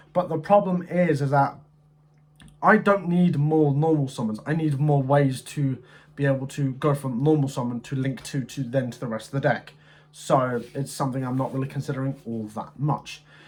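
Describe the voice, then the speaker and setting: Somewhat breathy and fairly high in pitch, a man speaks at a moderate pace with ordinary pitch variation. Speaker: gaming content creator. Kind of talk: deck review commentary.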